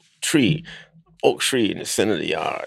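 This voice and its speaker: A man talks with music playing in the background. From US South, Alabama. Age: 90s. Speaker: elder storyteller, civil rights activist. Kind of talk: elder's rambling oral-history reminiscence of childhood. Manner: meandering, folksy, peppered with 'you know' and chuckles; halting, repeats and restarts phrases.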